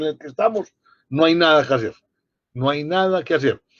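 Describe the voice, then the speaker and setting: With an unremarkable speaking voice, a man talks at a fairly quick pace, fairly high in pitch with ordinary pitch variation. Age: 60s. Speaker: public policy commentator. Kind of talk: panel discussion.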